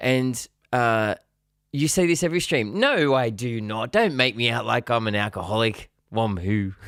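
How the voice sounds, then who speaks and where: With an Australian accent, a man speaks fairly slowly and with lively intonation. The recording is very clean, with a silent background. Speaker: musician streamer. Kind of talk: casual live stream chat. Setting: live stream.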